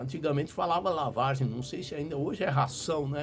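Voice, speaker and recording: Noticeable background noise runs behind a man with fairly high pitch. He moves at a fairly quick pace with ordinary pitch variation. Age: 60s. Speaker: pastor. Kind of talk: sermon.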